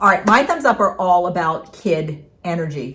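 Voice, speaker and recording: This woman has an unremarkable speaking voice, pitched fairly low, with ordinary pitch variation. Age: 60s. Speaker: craft video co-host, retired middle school teacher. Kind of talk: casual chat.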